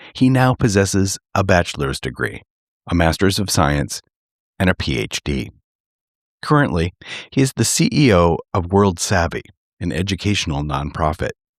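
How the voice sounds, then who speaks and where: A man with an American accent and a very deep, low voice speaks at a moderate pace with vocal fry, very wide pitch swings and long, frequent pauses, on a very clean, dry and close recording with no echo and a silent background. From Minnesota, Twin Cities. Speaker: podcast host. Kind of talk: scripted introduction.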